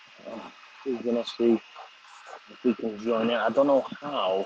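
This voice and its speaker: Noticeable background noise sits behind a man's voice. He has a medium pitch and fairly even intonation. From Liverpool, England. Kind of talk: casual live stream chat. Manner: casual, profane.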